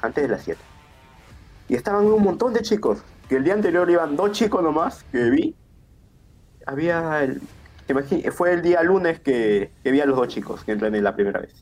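A man with a high pitch, very wide pitch swings and long, frequent pauses. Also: moderate pace. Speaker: professional wrestler. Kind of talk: casual chat.

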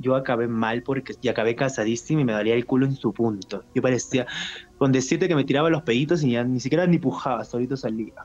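A man with a Peruvian accent talks at a very fast pace and medium pitch, with ordinary pitch variation and very even loudness. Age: 20s. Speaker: adult content creator. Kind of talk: interview.

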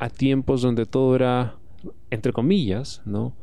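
This man's voice has a dark, mellow tone at a medium pitch. He speaks at a fairly slow pace. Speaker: podcast host. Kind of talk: solo podcast monologue. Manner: casual, frequent filler.

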